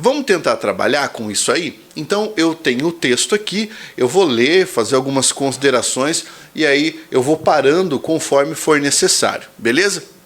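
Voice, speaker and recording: A man speaks in a Brazilian accent at a fairly high pitch. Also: lively intonation, moderate pace. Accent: Brazilian accent when speaking English. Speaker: exam prep teacher. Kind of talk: tutorial. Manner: casual, conversational.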